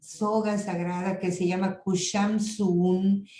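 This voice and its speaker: A woman speaks very slowly. Her pitch sits in the medium range. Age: 70s. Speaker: lecturer on intercultural health. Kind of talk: lecture.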